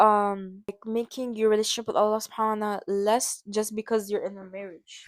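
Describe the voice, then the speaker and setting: Here a woman has a normal speaking voice at a fairly high pitch and a moderate pace. The sound is dry and close, with no echo. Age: young. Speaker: podcast host. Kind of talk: casual podcast discussion.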